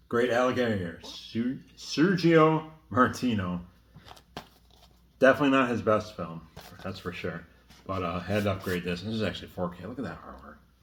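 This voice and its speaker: A man speaks at a moderate pace in a fairly low voice, with lively intonation. He leaves long, frequent pauses, and the room echo is audible. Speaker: horror film collector. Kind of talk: casual chat. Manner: casual, hesitant with fillers.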